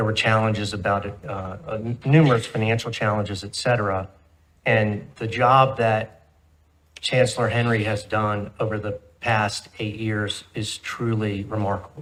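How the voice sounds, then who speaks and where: A man speaks with an American accent in an ordinary speaking voice. His pitch is fairly low, his intonation fairly even, and his pace moderate. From Southwest Virginia. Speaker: university board member. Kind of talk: board meeting remarks. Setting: board room meeting.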